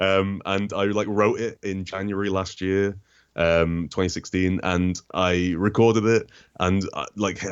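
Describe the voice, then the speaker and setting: Someone with a British accent speaks in a monotone, flat intonation. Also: man. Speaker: comics critic and video essayist. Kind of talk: interview.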